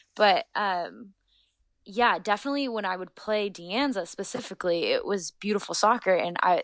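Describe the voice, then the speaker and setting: An American-accented woman at a moderate pace with ordinary pitch variation, over a quiet background. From US West Coast, Northern California Bay Area. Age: 20s. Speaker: professional footballer. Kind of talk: casual interview.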